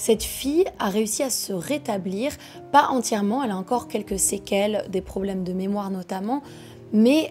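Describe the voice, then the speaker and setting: With music playing behind her, a woman talks at a moderate pace in a medium pitch with lively intonation. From France and Quebec. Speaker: true crime storyteller. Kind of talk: casual true crime narration.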